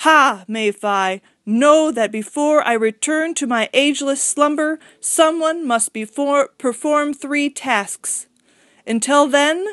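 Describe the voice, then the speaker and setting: A woman speaks in a put-on character voice pitched high. Her pace is very slow. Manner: thundering.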